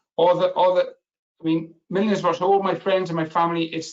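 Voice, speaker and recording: A high-pitched man with a strong Welsh accent at a moderate pace. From Wales. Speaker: business analysis expert and webinar speaker. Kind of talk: webinar presentation. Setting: online webinar.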